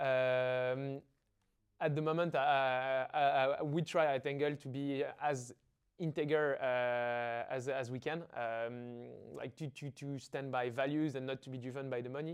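A man's medium-pitched voice in a French accent, flat and monotone, fairly slow, against a quiet background. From Paris, France. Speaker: startup founder. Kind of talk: interview.

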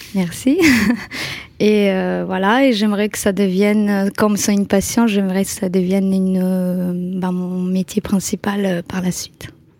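Woman at a fairly slow pace with monotone, flat intonation and noticeable background noise. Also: medium pitch for a woman. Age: 30s. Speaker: social media influencer and night-shift care assistant. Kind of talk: casual interview chat.

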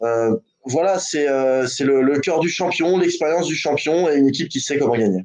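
The clip features a normal speaking voice with ordinary pitch variation. It moves at a moderate pace. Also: man, fairly high pitch for a man. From American heritage. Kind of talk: casual chat.

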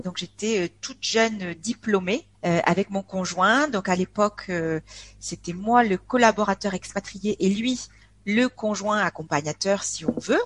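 Speaking at a very slow pace, a woman keeps her intonation lively at a medium pitch. The sound is dry and close, with no echo. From France, Aveyron (rural south-west). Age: 40s. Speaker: expat interviewee. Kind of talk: casual interview chat. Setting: online call, poor connection. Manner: cheerful; hesitant, many fillers.

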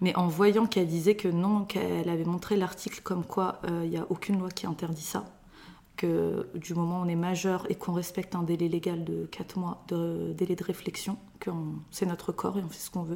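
A woman at a moderate pace, fairly low in pitch, with monotone, flat intonation. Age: 30s. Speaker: mother of three. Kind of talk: personal testimony interview.

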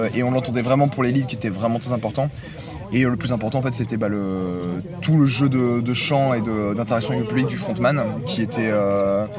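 A man talks at a moderate pace and a medium pitch, with ordinary pitch variation. The room echoes audibly and background noise is noticeable. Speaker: music webzine contributor. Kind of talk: casual chat. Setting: inside a tent at a festival campsite.

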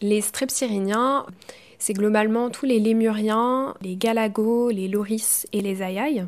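A woman's fairly high voice, very slow pace and fairly even intonation. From Brittany, France. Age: 20s. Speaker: biology student. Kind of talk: scripted narration.

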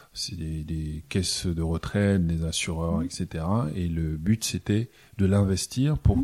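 A man's very deep, low voice, dark and mellow in tone, in a very clean recording with a silent background. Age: 30s. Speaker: entrepreneur. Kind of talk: interview. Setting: office.

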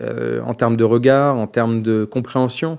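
A man with a medium-pitched voice and fairly even intonation talks over a quiet background. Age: 30s. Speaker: diversity nonprofit founder. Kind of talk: podcast interview. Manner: hesitant, many fillers.

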